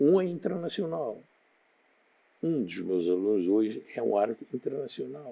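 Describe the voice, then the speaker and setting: A man's voice has a dark, mellow tone and a medium pitch with very wide swings. He keeps a moderate pace, with long, frequent pauses. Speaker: retired physical education teacher. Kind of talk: interview.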